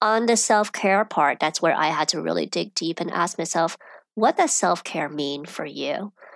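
On a very clean recording with a silent background, a woman with an American accent speaks at a fairly low pitch with vocal fry. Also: ordinary pitch variation, moderate pace, dry, close sound with no echo. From China and Europe, then US from age ten. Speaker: personal finance expert. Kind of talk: interview.

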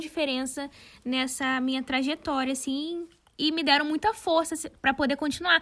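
A woman's high voice with fairly even intonation. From Brazil, São Gonçalo (Rio de Janeiro state). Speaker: fashion designer and content creator, podcast co-host. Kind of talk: casual chat.

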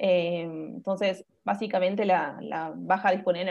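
A woman's plain, everyday voice at medium pitch with ordinary pitch variation. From Buenos Aires, Argentina. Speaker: nutritionist and dancer. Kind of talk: interview, informative chat.

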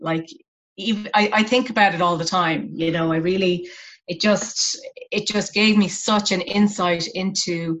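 A woman with an Irish accent speaks at a fairly slow pace and medium pitch, her intonation fairly even. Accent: Irish (Clare). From Ireland, West Clare. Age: 40s. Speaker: arts professional. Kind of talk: casual interview.

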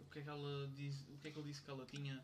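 There is audible room echo around this man's voice. He speaks with a European Portuguese accent at a fairly high pitch. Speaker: university friend. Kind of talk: casual chat.

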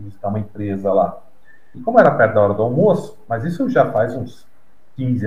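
A somewhat breathy man at a fairly quick pace, with audible room echo. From Brazil, São Paulo. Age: 50s. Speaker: novelist. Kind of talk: interview.

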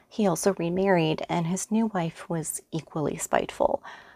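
A woman speaks in a normal speaking voice, fairly low in pitch with ordinary pitch variation, in a dry, close sound with no echo. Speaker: true crime podcaster. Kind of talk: true-crime narration. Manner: measured, serious storytelling; even, steady, scripted delivery.

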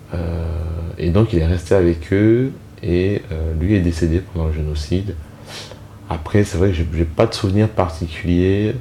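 A man speaks at a fairly slow pace in a very deep, low pitch, with fairly even intonation, long and frequent pauses, and noticeable background noise. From Rwanda, moved to France as a child. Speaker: genocide survivor, father. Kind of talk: personal testimony. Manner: detached at times; hesitant.

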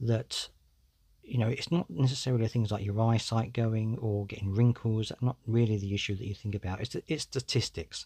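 At a fairly quick pace, a man speaks in a somewhat breathy, medium-pitched voice on a very clean recording with a silent background. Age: 40s. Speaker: podcast host. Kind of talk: solo podcast monologue. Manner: casual, conversational.

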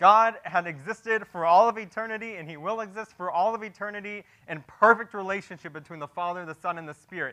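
A man speaks in a raised, projected voice at a high pitch with a bright, sharp tone. His pace is fairly quick and his pitch varies in an ordinary way. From Texas, Houston area. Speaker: pastor. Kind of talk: sermon.

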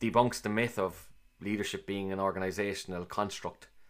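In a Cork accent, a man talks at a fairly quick pace with a fairly low pitch and monotone, flat intonation, on a very clean recording with a silent background. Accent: Cork Irish. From Ireland, Cork. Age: 40s. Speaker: managing director and podcast host. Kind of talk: interview answers, casual business talk. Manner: hesitant, many fillers and repetitions.

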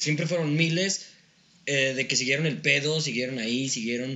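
With a Mexican accent, a man speaks at a moderate pace and fairly high pitch with ordinary pitch variation, and the room echo is audible. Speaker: podcast co-host. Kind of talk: casual chat.

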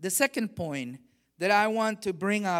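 A man talks with lively intonation on a very clean recording with a silent background. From Honduras. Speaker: missionary and guest preacher. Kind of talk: sermon. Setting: church service with congregation. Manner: energetic.

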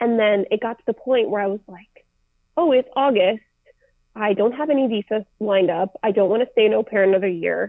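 An unremarkable speaking voice from a woman with a fairly high pitch, ordinary pitch variation and a fairly quick pace. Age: 20s. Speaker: travel content creator. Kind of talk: casual interview chat.

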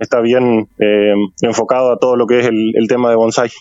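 At a moderate pace, a man with a medium pitch talks in a flat, monotone way. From Argentina, Entre Ríos (San Salvador). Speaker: painter. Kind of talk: radio interview. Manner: halting, repetitive.

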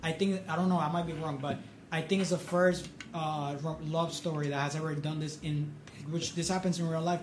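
Noticeable background noise and audible room echo surround a man speaking fairly quickly at a fairly high pitch with monotone, flat intonation. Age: 20s. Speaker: podcast co-host, student film festival marketer. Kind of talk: casual chat.

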